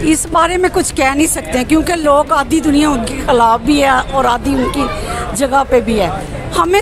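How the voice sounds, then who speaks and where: Over crowd noise in the background, a woman with a high pitch speaks with lively intonation in a dry sound with no echo. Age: old. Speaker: street interviewee. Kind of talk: street interview answer. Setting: outdoors. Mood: frustrated about prices. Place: market.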